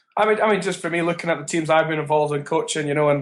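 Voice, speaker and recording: This voice with a Scottish accent moves at a very fast pace. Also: man. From Edinburgh, Scotland. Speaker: rugby coach. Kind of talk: interview answer.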